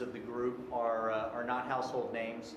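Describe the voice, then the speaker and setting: A man talking at a moderate pace amid audible room echo and noticeable background noise. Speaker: presenter. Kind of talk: presentation to a board. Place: meeting room. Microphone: podium.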